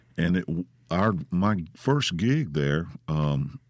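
A man speaks with a Mississippi accent. His pitch is very deep and low, and his pace is very slow. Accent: US Southern (Mississippi). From Mississippi (Grenada). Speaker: musician. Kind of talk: casual chat. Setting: studio. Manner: halting.

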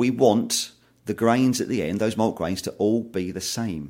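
A man with a normal speaking voice at a fairly quick pace, ordinary pitch variation, and a very clean recording with a silent background. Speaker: maltster. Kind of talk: interview about malting.

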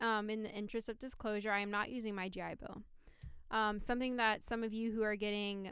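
A woman speaks at a fairly quick pace in a normal speaking voice, her pitch fairly high. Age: 20s. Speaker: Navy veteran. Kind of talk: casual chat. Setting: studio.

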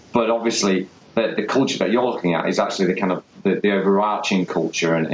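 A man with an English accent talks at a fairly quick pace against noticeable background noise. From England. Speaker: podcast host. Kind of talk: interview. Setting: call. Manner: halting.

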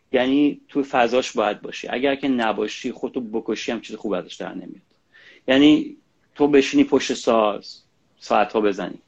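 A man's medium-pitched voice at a moderate pace, with big swings in loudness. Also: ordinary pitch variation. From Iran. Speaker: singer-songwriter. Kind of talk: casual interview. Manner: halting.

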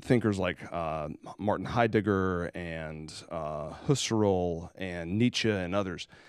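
Speaking with a Southern US accent, a man's voice runs very deep and low, with ordinary pitch variation. He talks at a fairly slow pace on a very clean recording with a silent background. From South Carolina. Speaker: pastor and podcast host. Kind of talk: casual chat.

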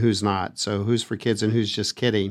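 At a moderate pace and medium pitch, a man speaks with fairly even intonation in a plain, everyday voice, on a very clean recording with a silent background. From Texas, El Paso. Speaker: children's advocacy podcast co-host. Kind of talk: casual chat. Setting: studio.

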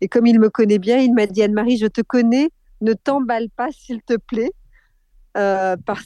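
A dark, mellow tone comes through at a moderate pace, dry and close with no echo. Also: woman. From France, Corrèze. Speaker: media company co-founder. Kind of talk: interview.

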